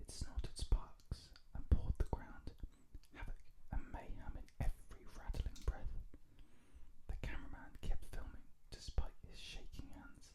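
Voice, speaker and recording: The voice is whispering at a fairly slow pace. Long, frequent pauses come throughout. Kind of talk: read-aloud book excerpt. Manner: whispered, soft-spoken.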